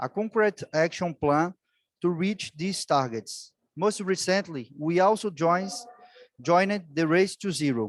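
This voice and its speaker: A man with a Portuguese accent speaks at a fairly slow pace with a high pitch and ordinary pitch variation. The sound is dry and close, with no echo. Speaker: city official. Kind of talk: prepared speech.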